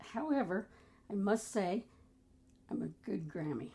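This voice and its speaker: There is vocal fry in this woman's voice, which has a medium pitch, a dark, mellow tone and lively intonation. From US, military family moving around (Memphis, Hawaii, Rhode Island). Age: 70s. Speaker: grandmother sharing life stories. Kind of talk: casual interview chat.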